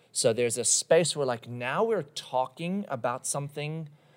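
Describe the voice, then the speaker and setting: Speaking at a fairly slow pace, a man uses an ordinary speaking voice with ordinary pitch variation. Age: 30s. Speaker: pastor. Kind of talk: casual chat.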